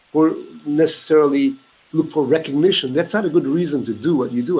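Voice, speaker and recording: Against noticeable background noise, a man with an American accent speaks at a fairly high pitch. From Istanbul, Turkey, then Los Angeles from 13. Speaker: musician. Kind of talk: casual interview chat. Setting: remote call from home. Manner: halting, many repetitions.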